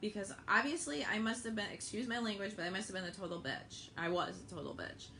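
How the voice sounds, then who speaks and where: Over noticeable background noise and audible room echo, a woman with a medium pitch talks at a fairly quick pace. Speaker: network marketing seller. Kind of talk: livestream sales pitch. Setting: live video stream. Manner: animated.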